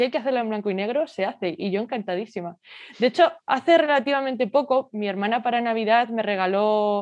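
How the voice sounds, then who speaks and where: Using an ordinary speaking voice, a woman talks at a fairly high pitch, and her pitch varies in an ordinary way. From Spain, Madrid. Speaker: portrait photographer. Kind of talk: interview.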